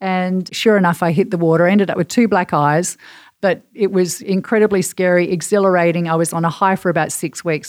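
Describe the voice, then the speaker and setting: A woman with an Australian accent talks at a fairly quick pace and fairly low pitch, with fairly even intonation. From Perth, Western Australia. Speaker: marketing executive and podcast producer. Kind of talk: casual chat.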